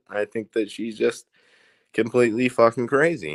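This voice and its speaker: A man with a rural Indiana accent speaks at a medium pitch and moderate pace. The sound is dry and close with no echo, on a very clean recording with a silent background. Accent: Indiana accent, rural Midwestern. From Indiana, US. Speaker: live streamer. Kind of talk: casual live stream chat. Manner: animated, repetitive stammering.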